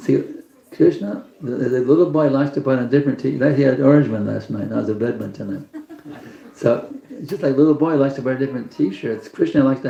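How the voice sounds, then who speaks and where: Over noticeable background noise, a man with an American accent talks at a very fast pace. His pitch is fairly high, with ordinary variation. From Texas. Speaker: spiritual teacher. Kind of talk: religious class talk. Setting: evening program with live audience.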